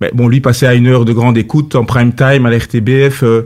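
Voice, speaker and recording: Here a man speaks at medium pitch. His intonation is monotone and flat. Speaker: former sports journalist and politician. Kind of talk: radio interview. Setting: studio. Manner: halting.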